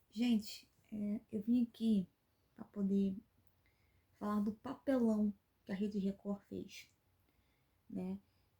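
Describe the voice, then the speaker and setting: Very slow and breathy in places, a woman's medium-pitched voice carries a dark, mellow tone, flat intonation, and long, frequent pauses. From Brazil, Rio de Janeiro state (Angra dos Reis). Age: 30s. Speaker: YouTuber, commentary channel host. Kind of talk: opinion commentary vlog. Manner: indignant, emphatic with hesitations.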